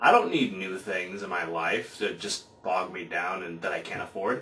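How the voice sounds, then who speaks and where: A man speaks at a moderate pace with noticeable noise in the background. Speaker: vlogger. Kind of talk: casual talk to camera. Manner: speaking with gusto.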